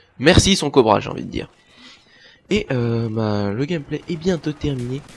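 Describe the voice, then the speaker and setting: A man at a medium pitch, somewhat breathy, with lively intonation, big swings in loudness and a moderate pace. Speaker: gaming youtuber. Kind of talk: gameplay commentary. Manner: animated.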